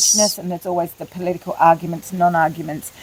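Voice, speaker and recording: A woman speaks with an Australian accent at a medium pitch and with monotone, flat intonation. There is noticeable background noise. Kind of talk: interview answer.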